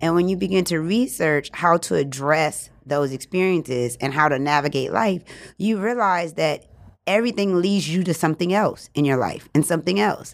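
An ordinary speaking voice with an American accent moves at a fairly quick pace, with lively intonation and very even loudness, in a very clean recording with a silent background. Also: woman. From New Orleans, US South. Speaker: podcast host. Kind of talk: casual interview chat.

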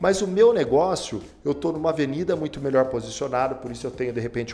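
A man's voice with ordinary pitch variation. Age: 40s. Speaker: beauty academy executive. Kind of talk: interview. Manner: hesitant fillers.

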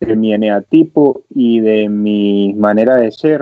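A man's voice with fairly even intonation. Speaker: podcast co-host. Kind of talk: casual chat. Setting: remote call from home.

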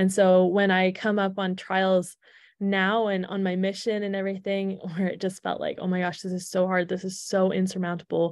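Against a quiet background, a woman speaks at a moderate pace and medium pitch with monotone, flat intonation. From Canada, Alberta. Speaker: returned missionary. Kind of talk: interview.

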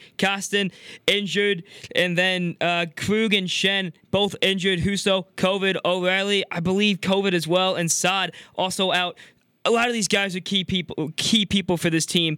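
In a dry, close recording with no echo, a man uses a raised, projected voice at a high pitch, bright and sharp in tone and cheerful. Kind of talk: live commentary goal call, then a playful fan rant. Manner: animated, excited, rising hockey-announcer delivery; cheerful, rapid-fire, rattling off the injury list.

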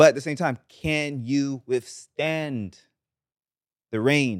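With a Barbadian accent, a man speaks with ordinary pitch variation. The recording is very clean with a silent background, and the sound is dry and close with no echo. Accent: Bajan Caribbean English. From Barbados, St. Joseph. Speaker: pop reggae singer. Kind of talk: casual chat.

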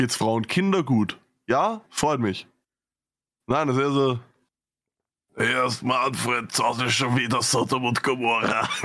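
A man speaks at a very slow pace with long, frequent pauses, his medium pitch moving in an ordinary way and his loudness very even, in a very clean recording with a silent background. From Vienna, Austria. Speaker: podcast co-host. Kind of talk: casual chat.

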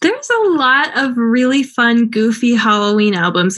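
Lively intonation marks this woman's fairly high pitch. She speaks in a plain, everyday voice. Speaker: podcast co-host and grad student. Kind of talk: casual chat about a movie. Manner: casual, laughs often.

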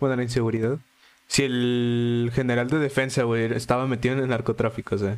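A man delivers his words at a fairly quick pace in a medium pitch with monotone, flat intonation. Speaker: podcast co-host. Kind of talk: casual chat.

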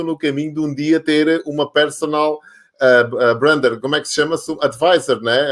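This is a man speaking. His pitch is fairly high. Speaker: live show host. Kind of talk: casual interview. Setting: online live stream. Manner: animated.

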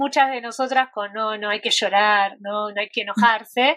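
A woman speaks at a fairly slow pace in a bright, sharp tone, her intonation fairly even. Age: 40s. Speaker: yoga therapist. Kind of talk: interview conversation.

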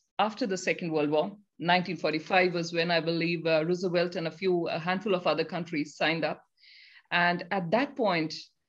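A woman at a fairly low pitch and moderate pace, an ordinary speaking voice. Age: 40s. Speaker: dairy farmer and online show host. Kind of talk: live online talk show.

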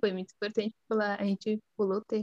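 A woman's voice, dry and close with no echo. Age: 20s. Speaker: pharmacy student. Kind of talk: casual chat.

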